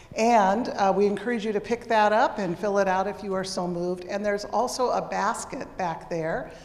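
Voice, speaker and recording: Ordinary pitch variation and a moderate pace over noticeable background noise. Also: woman. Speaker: pastor. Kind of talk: worship service announcements. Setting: church. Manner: casual.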